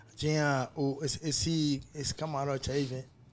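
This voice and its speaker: A man at a medium pitch. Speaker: party DJ. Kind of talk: casual chat. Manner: animated.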